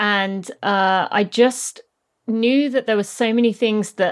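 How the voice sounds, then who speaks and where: A woman with a British accent at medium pitch, fairly even intonation and a fairly slow pace, on a very clean recording with a silent background. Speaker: former professional runner and podcast host. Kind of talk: casual interview. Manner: rambling, talkative.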